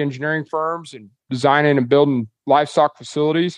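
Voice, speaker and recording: Over a quiet background, a man with a Kansas accent speaks at a fairly high pitch with ordinary pitch variation, the sound dry and close with no echo. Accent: rural US Plains (Kansas). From Kansas, Dodge City. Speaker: livestock auction owner. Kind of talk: casual interview.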